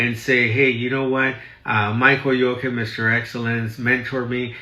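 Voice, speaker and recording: A man speaks at a medium pitch. The room echo is audible. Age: 60s. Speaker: real estate broker. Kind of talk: live stream talk. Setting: live stream in office. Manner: animated.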